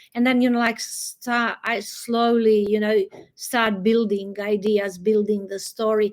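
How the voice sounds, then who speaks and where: A woman speaks in a Croatian accent at a fairly slow pace. Her fairly high voice stays monotone and flat. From Croatia, Adriatic coast. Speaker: novelist. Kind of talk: interview conversation. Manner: halting.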